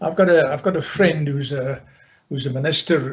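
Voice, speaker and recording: At a medium speed, a somewhat breathy voice speaks with fairly level intonation. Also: man. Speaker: political and economic analyst. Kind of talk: talk to business audience on video call.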